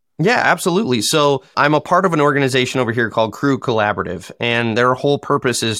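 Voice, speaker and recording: In a Michigan accent, a man talks at a very fast pace with a bright, sharp tone and ordinary pitch variation, on a very clean recording with a silent background and a dry, close sound with no echo. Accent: US Midwest (Michigan). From Michigan, US. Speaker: dirt contractor and construction content creator. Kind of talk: casual interview chat.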